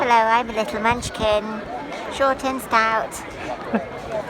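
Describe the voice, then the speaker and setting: A put-on character voice, female-sounding and squeaky, with a fairly high pitch for a woman, comes through at a very slow pace. Loud background noise fills the clip. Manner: playful.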